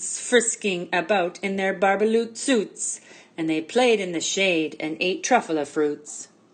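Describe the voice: What's heard is plain reading aloud.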